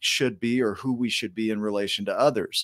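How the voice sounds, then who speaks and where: With a slight Oklahoma accent, a man is heard on a very clean recording with a silent background and a dry, close sound with no echo. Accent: minor Oklahoma drawl. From Oklahoma, US. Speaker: show host. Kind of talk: interview chat.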